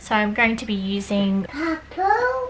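Noticeable background noise is present. Over it, a woman talks. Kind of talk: tutorial. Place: kitchen. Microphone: phone near.

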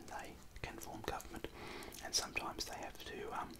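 Someone whispers, soft-spoken, at a moderate pace over loud background noise. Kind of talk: tutorial. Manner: soft whispered explanation.

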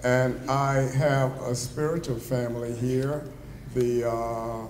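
Against noticeable background noise, a man with an American accent speaks in a medium pitch with fairly even intonation. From US South. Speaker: retired psychology professor, honoree. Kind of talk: acceptance speech. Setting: banquet hall with audience. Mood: warm, grateful, humorous. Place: hall. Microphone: podium.

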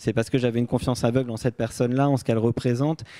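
Against a quiet background, a man speaks at a medium pitch with a dark, mellow tone and fairly even intonation. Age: 30s. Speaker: novelist and photographer; interviewee. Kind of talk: interview. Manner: hesitant. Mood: reflective, calm. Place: hall. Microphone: handheld.

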